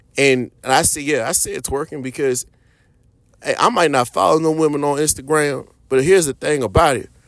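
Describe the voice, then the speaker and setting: A man with a fairly high pitch speaks in an unremarkable speaking voice. He talks at a fairly quick pace with ordinary pitch variation, in a very clean recording with a silent background. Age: 30s. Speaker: podcast host. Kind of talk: solo podcast monologue. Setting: at a podcast mic. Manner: casual, conversational.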